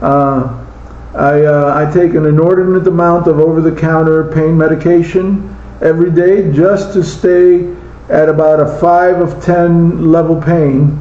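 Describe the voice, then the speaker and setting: Over noticeable background noise and audible room echo, a man with a fairly high pitch speaks at a fairly slow pace in a flat, monotone way with very even loudness. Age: 60s. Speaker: slot car hobbyist. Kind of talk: casual monologue. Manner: halting.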